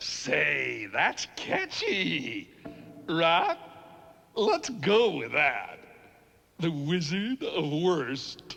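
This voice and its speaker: In a cartoonish character voice, a high-pitched man talks at a very slow pace with long, frequent pauses. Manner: smug, playful.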